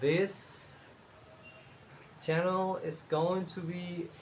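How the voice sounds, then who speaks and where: A man in a Spanish accent, with audible room echo. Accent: Spanish-speaking accent in English. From Cuba. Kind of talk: casual talk to camera. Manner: hesitant, many fillers.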